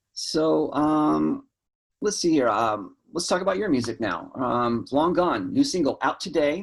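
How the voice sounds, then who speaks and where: In a very clean recording with a silent background, a man with a slight Southern US accent speaks at a fairly slow pace. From US South. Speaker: interview host. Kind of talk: casual interview.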